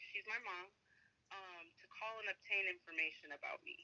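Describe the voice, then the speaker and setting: With an American accent, a woman talks at a moderate pace. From Minnesota. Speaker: podcast guest. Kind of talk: personal storytelling. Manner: halting, many fillers.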